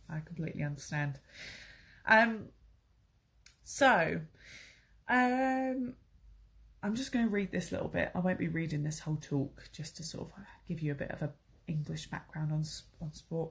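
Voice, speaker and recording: A woman with a fairly low, somewhat breathy voice speaks at a moderate pace with very wide pitch swings and long, frequent pauses over a quiet background. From southern England, Crawley. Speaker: English teacher. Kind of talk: online English lesson. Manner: casual, hesitant with fillers.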